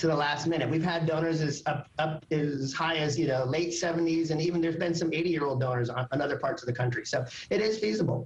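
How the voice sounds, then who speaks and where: A man talks at a very fast pace with hardly any pauses and very even loudness. His fairly high voice shows ordinary pitch variation, with noticeable background noise behind it. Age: 50s. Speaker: organ donation organization director. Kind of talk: live TV interview. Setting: TV morning show.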